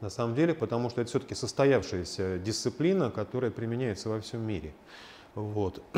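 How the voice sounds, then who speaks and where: Here a man with a dark, mellow tone speaks at a medium pitch and a fairly quick pace, his intonation lively. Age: 50s. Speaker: lecturer and existential psychologist, coach. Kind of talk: lecture with small audience Q&A. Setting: lecture room with small live audience and online chat.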